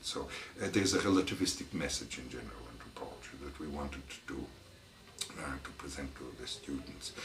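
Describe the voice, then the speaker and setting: Room echo is audible, along with noticeable background noise. The pitch varies in an ordinary way. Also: man. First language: French. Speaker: anthropology professor. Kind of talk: interview. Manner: halting, many fillers.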